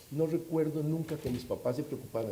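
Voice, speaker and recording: This speaker talks at a fairly quick pace with a Costa Rican accent. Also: man. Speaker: security expert panelist. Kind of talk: panel discussion. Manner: animated.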